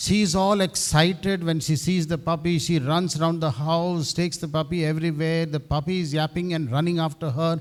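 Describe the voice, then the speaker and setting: The speech moves at a moderate pace. Its intonation stays fairly even. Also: man. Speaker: university head priest. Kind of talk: speech at event. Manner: halting.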